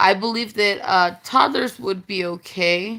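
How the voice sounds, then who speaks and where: A woman with a bright, sharp tone talks at a fairly slow pace, at a medium pitch with ordinary pitch variation. The recording is very clean, with a silent background. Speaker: vlogger sharing home remedies. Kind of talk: casual talk to camera. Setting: home with children nearby. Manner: informal, chatty with fillers.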